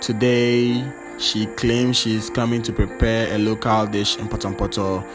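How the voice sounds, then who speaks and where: Music plays in the background as this man keeps fairly even intonation at a medium pitch. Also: fairly slow pace. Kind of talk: humorous cooking video voice-over. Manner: playful, chatty.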